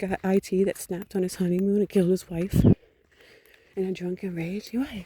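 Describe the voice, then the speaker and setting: A woman's medium-pitched, somewhat breathy voice with a dark, mellow tone at a moderate pace. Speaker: vlogger. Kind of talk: personal monologue rant. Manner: soft-spoken.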